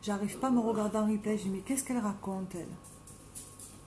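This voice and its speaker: Music plays behind a woman talking at a fairly quick pace. Her voice is fairly high, with fairly even intonation. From southern France, Marseille. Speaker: makeup live streamer. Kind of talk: live stream casual chat with makeup tutorial. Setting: at home, live video stream.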